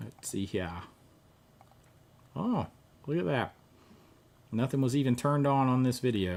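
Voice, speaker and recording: Long, frequent pauses mark the speech of a medium-pitched man with a Southern US accent. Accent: Southern US accent, kept on purpose. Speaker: YouTuber, movie collector. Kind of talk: live stream chat with viewers. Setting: home live stream. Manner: casual, conversational.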